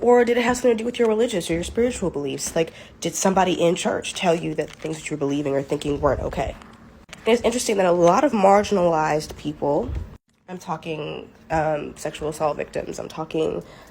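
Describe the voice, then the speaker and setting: At a very fast pace, a woman talks with lively intonation, vocal fry and a fairly low pitch. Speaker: mental health content creator. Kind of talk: casual monologue. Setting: TikTok video.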